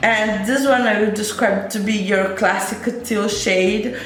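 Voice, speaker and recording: Music plays in the background as the speaker, with a non-native accent, talks at a very slow pace amid audible room echo. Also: woman. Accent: noticeable non-native English. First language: not English. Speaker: beauty youtuber. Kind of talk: makeup tutorial with swatches. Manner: hesitant, with many fillers and restarts; enthusiastic.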